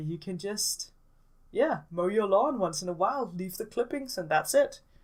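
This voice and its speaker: With a Danish accent, a woman talks using lively intonation. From Denmark. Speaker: gaming YouTuber. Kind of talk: casual voiceover commentary. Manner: hesitant, many fillers.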